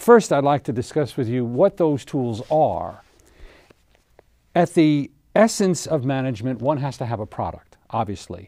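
A man with a dark, mellow tone speaks at a fairly slow pace, the sound dry with no echo and the background quiet. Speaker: TV show host. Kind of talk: seminar lecture. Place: studio.

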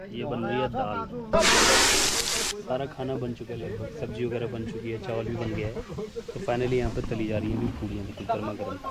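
Clear background noise sits behind a man talking at a moderate pace and medium pitch with ordinary pitch variation.

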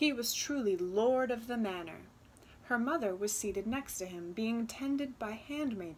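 Text is read aloud in a natural voice.

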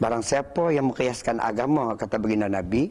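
Here a man speaks at a fairly quick pace in an unremarkable speaking voice. His pitch is medium, with ordinary pitch variation. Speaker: religious speaker. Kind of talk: religious talk. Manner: formal.

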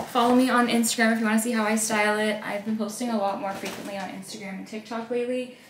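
A woman speaks at a fairly quick pace with fairly even intonation. Audible room echo and light background noise surround her voice. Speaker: lifestyle vlogger. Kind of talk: casual vlog chat. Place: home room. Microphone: phone near.

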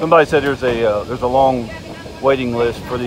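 A man's fairly even delivery, dry with no echo, over noticeable background noise. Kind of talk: casual vlog commentary. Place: train. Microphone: phone near.

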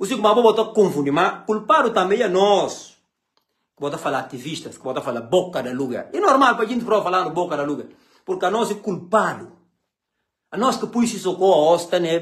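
Against a quiet background, a man with a high voice speaks fairly quickly in an animated tone with lively intonation. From Guinea-Bissau. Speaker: political commentator. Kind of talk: political rant. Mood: angry, mocking. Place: home room. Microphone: phone near.

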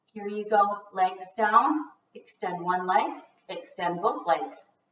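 A woman's voice carries audible room echo. Light background noise sits behind it. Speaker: fitness instructor. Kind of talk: workout instruction. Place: home room. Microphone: camera far.

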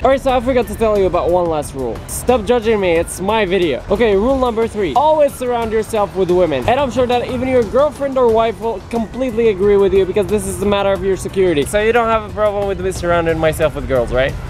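Over faint music in the background, a man talks at a very fast pace with hardly any pauses, in a dry sound with no echo. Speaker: vlogger. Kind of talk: comedic casual vlog tutorial. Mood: playful, joking. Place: street. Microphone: phone near.

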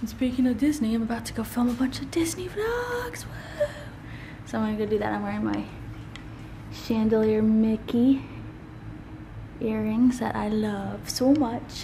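A woman talks at a moderate pace with long, frequent pauses. Light background noise can be heard. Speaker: family vlogger. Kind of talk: casual vlog chat. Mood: cheerful, upbeat. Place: home room. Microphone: phone near.

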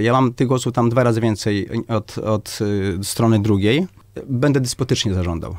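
Talking at a fairly quick pace, a man uses ordinary pitch variation. The background is quiet and the sound dry with no echo. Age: 50s. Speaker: doctor and medical clinic director; candidate. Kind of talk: radio interview. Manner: halting, many repetitions and fillers. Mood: firm, assertive. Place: studio.

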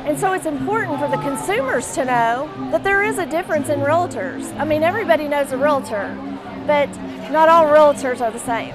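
Clear music plays in the background as a woman speaks fairly quickly. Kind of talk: interview answer. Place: hall. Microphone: lapel.

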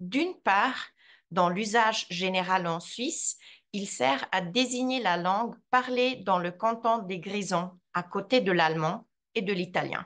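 Against a quiet background, a woman at a medium pitch speaks at a very slow pace. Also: ordinary pitch variation. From Switzerland, Graubünden (Surselva, Vrin); Graubünden, Switzerland. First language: Romansh (speaking French). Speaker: translator and language teacher; language teacher. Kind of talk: lecture. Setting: video call. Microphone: video call.

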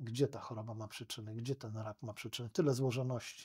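A man's somewhat breathy voice at a fairly quick pace, with fairly even intonation, against a quiet background. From Poland. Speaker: lawyer; podcast guest, lawyer. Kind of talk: interview conversation. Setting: studio. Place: studio. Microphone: studio mic.

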